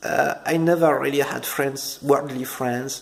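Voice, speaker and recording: Here a man speaks with a French accent. He talks at a fairly slow pace. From France. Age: 30s. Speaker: ex-Jehovah's Witness vlogger. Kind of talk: personal testimony. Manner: halting, many fillers and repetitions.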